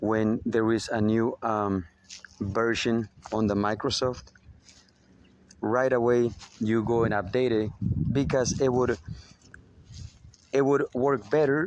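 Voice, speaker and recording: A man speaks very slowly with long, frequent pauses. His medium-pitched voice keeps a very even loudness. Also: fairly even intonation. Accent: slight Spanish. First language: Spanish. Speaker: spiritual motivational speaker. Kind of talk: spiritual monologue. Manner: hesitant, many fillers.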